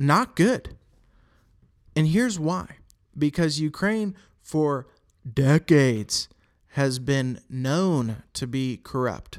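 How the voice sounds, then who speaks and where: In a very clean recording with a silent background, a man with an American accent speaks very slowly with lively intonation and long, frequent pauses. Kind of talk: casual political commentary podcast. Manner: passionate, indignant.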